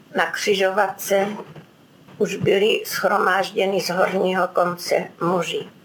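Amid noticeable background noise, a woman with a medium pitch speaks very slowly in a monotone, flat intonation. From Czech Krkonoše region, German-speaking family. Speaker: eyewitness. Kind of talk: oral history interview.

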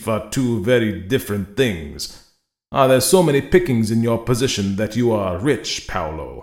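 With ordinary pitch variation, a voice is reading aloud in a natural voice against a quiet background.

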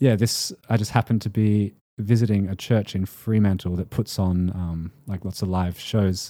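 A man's dark, mellow voice with an Australian accent, fairly slow and in a monotone, flat intonation, on a very clean recording with a silent background. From Western Australia. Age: 20s. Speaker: singer-songwriter. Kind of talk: casual interview chat.

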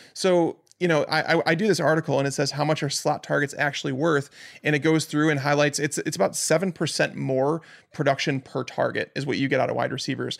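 An ordinary speaking voice, a man with an American accent and a fairly high pitch talks at a fairly quick pace in a very clean recording with a silent background. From Chicago, US Midwest. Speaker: fantasy football analyst. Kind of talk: casual chat.

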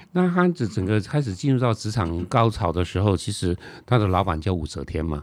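A man with a Taiwanese accent speaks with lively intonation. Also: fairly low pitch for a man, fairly quick pace. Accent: Taiwanese Mandarin. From Taiwan, Nantou County. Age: 60s. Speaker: author and TV travel host. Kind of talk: interview.

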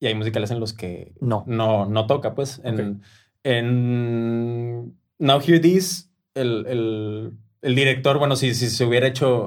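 On a very clean recording with a silent background, a man speaks at a very slow pace in a medium pitch with ordinary pitch variation. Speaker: musical director. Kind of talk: casual chat. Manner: halting, many repeated words.

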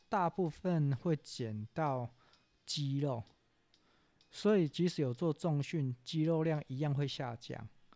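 In a very clean recording with a silent background and a dry, close sound with no echo, a man with a fairly high pitch and a dark, mellow tone speaks at a very slow pace with long, frequent pauses. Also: ordinary pitch variation. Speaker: news podcast host. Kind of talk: news commentary monologue. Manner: slightly halting, stumbles over words.

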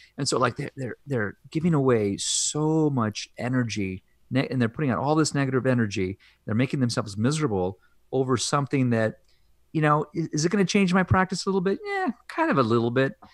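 With a plain, everyday voice, a man at medium pitch talks at a fairly quick pace with lively intonation, in a dry, close sound with no echo on a very clean recording with a silent background. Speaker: anesthesiologist. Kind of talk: casual interview.

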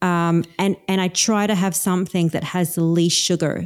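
A woman's dark, mellow tone with an Australian accent, on a very clean recording with a silent background. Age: 40s. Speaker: carnivore diet coach. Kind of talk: casual interview.

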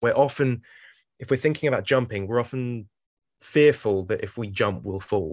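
A man with a plain, everyday voice talks at a moderate pace and medium pitch, with ordinary pitch variation, against a quiet background. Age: 30s. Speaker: life coach. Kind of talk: casual chat.

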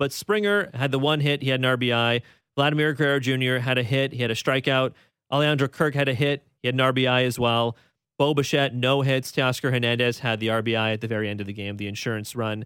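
An unremarkable speaking voice from a man at medium pitch, moving at a fairly quick pace with ordinary pitch variation. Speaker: radio host. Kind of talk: casual sports talk radio with call-ins. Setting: radio studio with phone calls.

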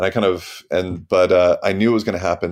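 A man with a Midwestern accent talks at a very fast pace. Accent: American (Midwestern). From US, Missouri. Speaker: novelist. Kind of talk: interview. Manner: halting, with many repetitions.

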